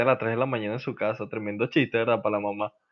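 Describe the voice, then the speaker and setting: A man's voice at a medium pitch. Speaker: podcast host. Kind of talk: casual chat. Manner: animated.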